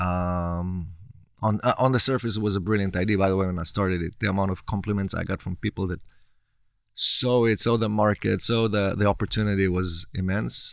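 A man with an Israeli accent, fairly low-pitched, fairly quick and fairly even in intonation, in a very clean recording with a silent background. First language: Hebrew. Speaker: entrepreneur. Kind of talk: interview. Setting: studio.

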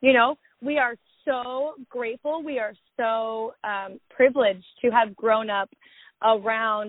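A woman's plain, everyday voice, fairly high in pitch with fairly even intonation. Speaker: podcast host. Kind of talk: casual interview chat.

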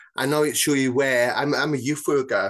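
Talking at a very fast pace with a South Wales Valleys accent, a man speaks against a quiet background. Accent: South Wales Valleys Welsh English. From Wales, South Wales Valleys (Bridgend). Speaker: author and mental health campaigner. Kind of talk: casual interview chat. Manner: hesitant, many fillers.

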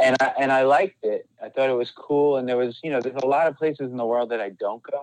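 This man talks at a very fast pace. His pitch sits in the medium range. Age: 40s. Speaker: rock band singer. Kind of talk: casual chat.

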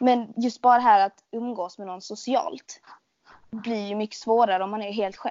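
In an unremarkable speaking voice, a woman talks at a moderate pace with fairly high pitch, ordinary pitch variation and big swings in loudness. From Sweden, Skåne. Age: 20s. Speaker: podcast host, shop worker. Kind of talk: casual chat.

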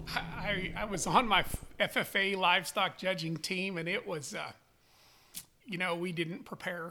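A man speaks in a raised, projected voice with a bright, sharp tone and a high pitch. He goes at a fairly slow pace with fairly even intonation and long, frequent pauses. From Wyoming. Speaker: sheep breeder. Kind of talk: interview.

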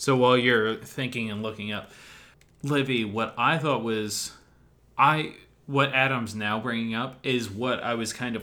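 Fairly slow male speech, medium in pitch, in a plain, everyday voice. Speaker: educator. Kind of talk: casual chat about music.

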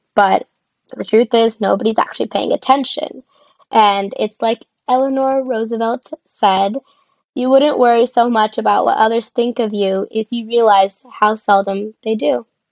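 A woman with an American accent speaks in a normal speaking voice, fairly high in pitch, at a moderate pace. Her intonation is fairly even, and the sound is dry and close with no echo. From Arizona (Tucson). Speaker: podcast co-host, clinical research worker. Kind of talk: casual chat.

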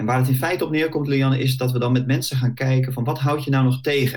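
A man speaks at a medium pitch in a somewhat breathy, monotone voice with flat intonation. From Netherlands, Bollenstreek (South Holland). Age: 40s. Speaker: career coach. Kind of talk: podcast interview.

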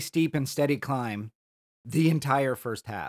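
A man with an unremarkable speaking voice talks at a fairly slow pace with lively intonation. The sound is dry and close, with no echo. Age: middle-aged. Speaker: podcast co-host, hiker. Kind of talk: casual chat.

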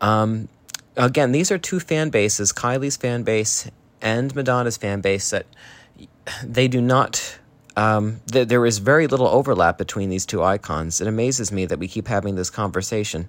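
With an American accent and a normal speaking voice, a man talks at a moderate pace. His pitch is medium, with ordinary pitch variation. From New Jersey, US. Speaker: listener sending voice memo. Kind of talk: recorded voice message.

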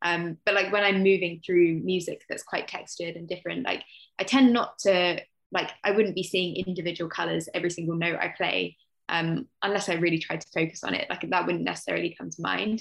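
At a fairly quick pace, a woman speaks in a fairly low pitch with vocal fry, fairly even intonation and big swings in loudness. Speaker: author, teacher and therapist. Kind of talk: casual chat.

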